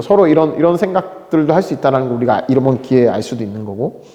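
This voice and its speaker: With noticeable background noise behind him, a man speaks at a very fast pace in an animated tone with lively intonation. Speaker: teacher. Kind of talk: lecture.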